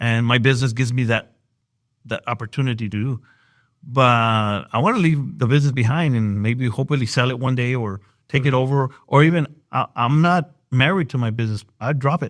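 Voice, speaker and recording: On a very clean recording with a silent background, a man with an American accent talks at a fairly quick pace, medium pitch and ordinary pitch variation. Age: 60s. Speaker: evangelist and business owner. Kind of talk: interview. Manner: halting.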